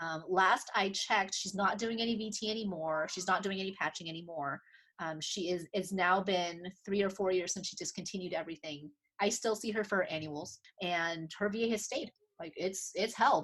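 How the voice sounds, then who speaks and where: With a medium-pitched voice, a woman speaks using ordinary pitch variation. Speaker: optometrist. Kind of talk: interview. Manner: fast.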